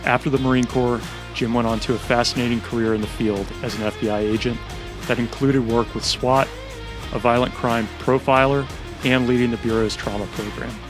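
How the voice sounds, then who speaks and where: A man's monotone, flat delivery at a fairly quick pace, dry with no echo, over clear background music. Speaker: podcast host. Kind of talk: scripted intro then interview questions. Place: home room. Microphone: studio mic.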